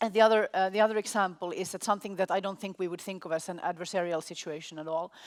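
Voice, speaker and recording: At medium pitch, a woman speaks very fast with hardly any pauses and fairly even intonation on a very clean recording with a silent background. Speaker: conference moderator. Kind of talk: moderated Q&A. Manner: halting.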